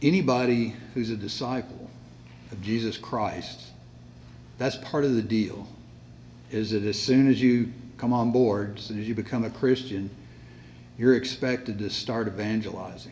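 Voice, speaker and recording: Amid audible room echo, a man at medium pitch keeps his intonation fairly even and his pace moderate, with big swings in loudness and long, frequent pauses. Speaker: Bible class teacher. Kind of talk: lecture. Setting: classroom with sound system. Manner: hesitant, many fillers.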